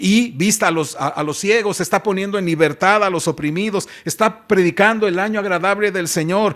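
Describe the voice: The clip consists of plain reading aloud.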